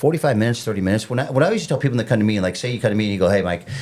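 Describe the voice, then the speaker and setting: The speech moves at a very fast pace. The intonation is lively. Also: man. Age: 50s. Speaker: fitness trainer. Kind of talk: casual chat.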